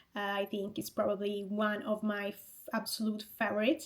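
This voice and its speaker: A woman with a fairly high pitch and an Italian accent. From Italy (Rome). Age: 20s. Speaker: fitness coach and content creator. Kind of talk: vlog monologue.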